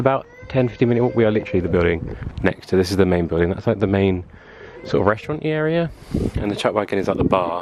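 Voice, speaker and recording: Over noticeable background noise, a man with fairly low pitch and lively intonation speaks at a very fast pace. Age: 20s. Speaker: travel vlogger. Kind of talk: casual vlog narration. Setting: outdoors walking.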